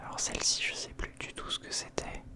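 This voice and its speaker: Whispering comes through with noticeable background noise behind it. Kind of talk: ASMR whispered show-and-tell of collectibles, casual talk to camera. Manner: whispering, relaxing.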